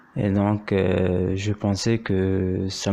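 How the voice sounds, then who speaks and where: A man speaks in a monotone, with flat intonation. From Morocco. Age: 30s. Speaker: doctoral law student. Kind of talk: interview. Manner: hesitant, many fillers.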